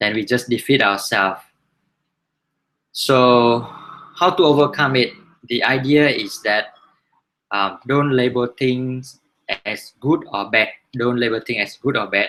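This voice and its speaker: Using a bright, sharp tone, a man speaks at a fairly slow pace with long, frequent pauses. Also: medium pitch for a man, ordinary pitch variation. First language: not English. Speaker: book reviewer, learning-sharing host. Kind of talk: book review talk. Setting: live online hangout broadcast. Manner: halting, many fillers and restarts.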